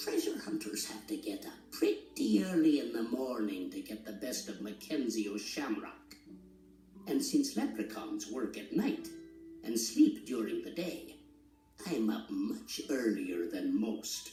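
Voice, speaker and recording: Someone puts on a gruff character voice at a fairly slow pace, with clear music in the background and a slight echo. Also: man. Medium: read story. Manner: gruff, boastful.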